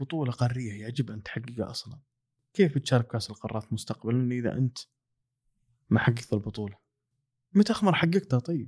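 Soft-spoken and somewhat breathy, a man at medium pitch talks at a moderate pace with lively intonation, big swings in loudness and long, frequent pauses, in a dry, close sound with no echo. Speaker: football podcaster. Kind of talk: casual monologue.

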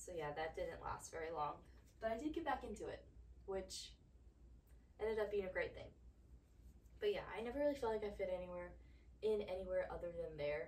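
In a room with audible echo, a woman with an American accent speaks with long, frequent pauses. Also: fairly quick pace. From US South (Georgia). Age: 20s. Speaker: podcast host, former college athlete. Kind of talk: casual solo monologue.

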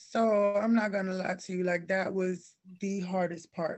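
A woman with an American accent speaks at medium pitch in a monotone, flat delivery. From Cleveland, Ohio, with years in Alabama and Georgia. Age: 30s. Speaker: fashion blogger and stylist. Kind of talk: casual interview chat.

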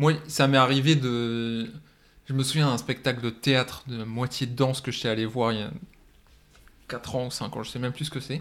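Speaking at a moderate pace with long, frequent pauses, a man uses a medium-pitched voice and fairly even intonation. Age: 20s. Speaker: film student and assistant director. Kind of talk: casual chat.

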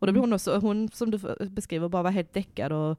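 An ordinary speaking voice from a woman at a fairly quick pace, medium in pitch with ordinary pitch variation, in a dry, close sound with no echo and a very clean recording with a silent background. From Värmland, Sweden. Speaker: podcast host. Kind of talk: casual chat.

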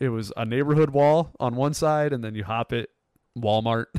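With an American accent, a man uses an ordinary speaking voice, medium pitch, ordinary pitch variation and a fairly quick pace. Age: 20s. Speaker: podcast host. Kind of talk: casual chat.

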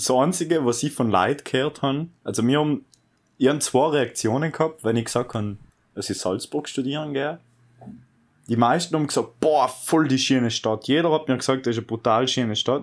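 A man's unremarkable speaking voice at a medium pitch, fairly quick, with ordinary pitch variation, on a very clean recording with a silent background. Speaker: podcast host, recent school graduate. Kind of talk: casual chat.

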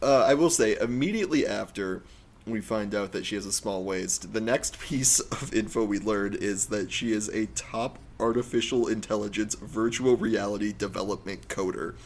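On a very clean recording with a silent background, a man with vocal fry speaks at a moderate pace and fairly low pitch with ordinary variation. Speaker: podcast co-host. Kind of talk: casual comedic chat.

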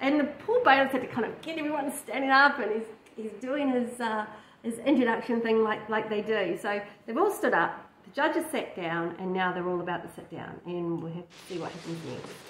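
At a fairly quick pace, a woman speaks in a fairly high pitch with ordinary pitch variation, and audible room echo fills the recording. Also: few pauses.

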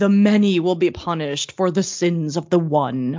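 This man uses a put-on character voice. His pitch sits high. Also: moderate pace. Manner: ominous, pronouncing judgment.

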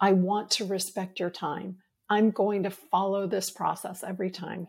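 A woman with an American accent speaks at a medium pitch and moderate pace, somewhat breathy. Her tone is dark and mellow on a very clean recording with a silent background. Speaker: leadership coach. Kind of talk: interview, professional conversation.

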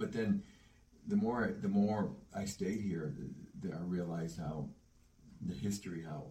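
With an American accent, a man talks at a fairly quick pace in a very deep, low voice that is somewhat breathy, dark and mellow in tone, with ordinary pitch variation. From US Midwest, Cleveland. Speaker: musician. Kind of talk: casual chat. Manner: halting.

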